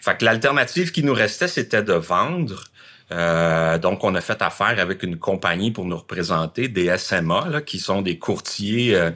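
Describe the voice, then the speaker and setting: A man speaks in a very deep, low voice. His pitch moves up and down in an ordinary way. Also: fairly slow pace. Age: 60s. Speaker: former car dealership owner. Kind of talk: interview. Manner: halting.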